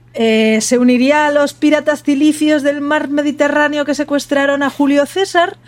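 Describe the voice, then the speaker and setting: A woman's high-pitched voice at a moderate pace with hardly any pauses. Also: fairly even intonation, very even loudness. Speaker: podcast host. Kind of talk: casual chat.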